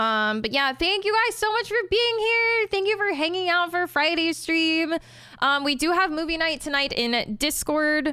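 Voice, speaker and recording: On a very clean recording with a silent background, a woman speaks in an extremely high pitch with a raised, projected voice, a bright, sharp tone, very wide pitch swings, very even loudness and a moderate pace. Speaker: streamer. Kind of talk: casual chat.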